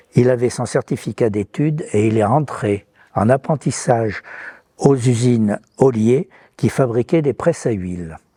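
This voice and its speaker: A man's medium-pitched voice, dark and mellow in tone, fairly slow, with ordinary pitch variation and a dry, close sound with no echo. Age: 80s+. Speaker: retired business founder, refrigeration technician. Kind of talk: interview testimony.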